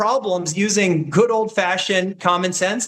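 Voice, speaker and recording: A high-pitched male voice with an American accent at a moderate pace. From US Midwest, Kansas City. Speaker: political commentator, former government staffer. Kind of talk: political interview debate.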